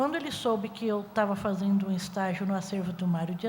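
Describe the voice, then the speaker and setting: A woman speaks at a moderate pace with ordinary pitch variation in an unremarkable speaking voice. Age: 60s. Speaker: music researcher. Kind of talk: panel talk.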